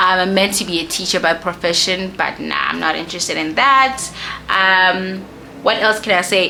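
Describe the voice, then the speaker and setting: With music in the background and audible room echo, a woman speaks at a medium pitch and a moderate pace with ordinary pitch variation. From South Africa, Soweto (Johannesburg). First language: a South African Bantu language (not English). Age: 20s. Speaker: YouTuber, lifestyle and beauty content creator. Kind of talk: casual Q&A vlog while doing makeup. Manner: casual, with many fillers.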